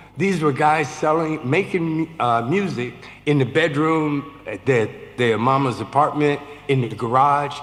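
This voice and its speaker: This man talks at a fairly slow pace with a fairly high pitch and ordinary pitch variation, over noticeable background noise. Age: 70s. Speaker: film producer. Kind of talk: panel discussion.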